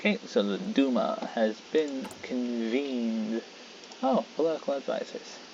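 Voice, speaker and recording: Someone soft-spoken talks at a fairly slow pace with noticeable background noise. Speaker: gaming video creator. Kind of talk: let's play commentary. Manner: quiet, soft-spoken.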